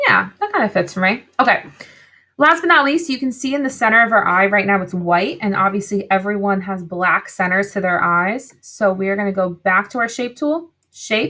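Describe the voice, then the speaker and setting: This woman's medium-pitched voice has a bright, sharp tone and lively intonation. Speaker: art teacher. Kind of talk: tutorial. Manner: fast; animated.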